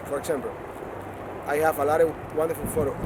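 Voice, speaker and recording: Over noticeable background noise, a man with a Spanish accent talks at a fairly quick pace in a fairly high pitch. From Cuba. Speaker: performance artist. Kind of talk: interview. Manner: halting.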